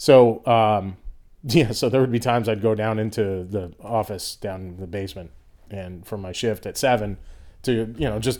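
At a moderate pace, a man with an American accent and a plain, everyday voice talks in a fairly low pitch with ordinary pitch variation on a very clean recording with a silent background. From Boston, Massachusetts. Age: 40s. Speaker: comedian. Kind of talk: casual chat.

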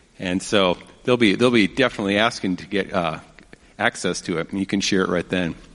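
Here a man speaks at a fairly low pitch. Noticeable background noise is present. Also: fairly even intonation, fairly quick pace. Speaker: missionary, film ministry. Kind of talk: church interview.

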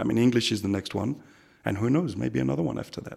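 The voice has a French accent. Vocal fry runs through it. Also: man, very clean recording, silent background. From France and Africa. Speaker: expat businessman. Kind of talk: interview. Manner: halting, many repetitions.

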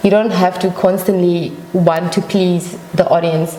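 Over noticeable background noise and audible room echo, a woman speaks at a fairly low pitch with monotone, flat intonation. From Namibia. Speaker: singer. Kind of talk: interview. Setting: studio.

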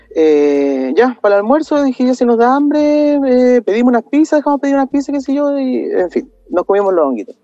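In a dry, close recording with no echo, a man speaks at an extremely high pitch and a fairly quick pace, with lively intonation and hardly any pauses. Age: 30s. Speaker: podcast listener sharing story. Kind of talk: personal testimony. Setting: video call.

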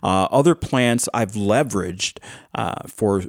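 On a very clean recording with a silent background, a man with a Western New York accent speaks at a fairly slow pace, his fairly low pitch showing ordinary variation. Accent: Western New York American. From Orleans County, western New York. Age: 60s. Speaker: hemp farmer. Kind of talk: casual chat. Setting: studio. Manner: energetic.

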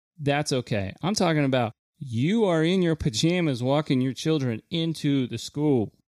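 A man with a normal speaking voice talks at a moderate pace, fairly high-pitched with lively intonation. The recording is very clean, with a silent background and a dry, close sound with no echo. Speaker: podcast co-host. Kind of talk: casual chat.

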